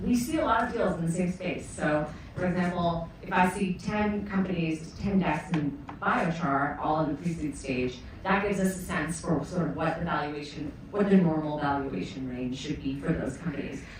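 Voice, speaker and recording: Against noticeable background noise and audible room echo, a woman speaks at a fairly low pitch. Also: ordinary pitch variation, moderate pace. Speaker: venture capital investor. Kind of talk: panel discussion. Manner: loud.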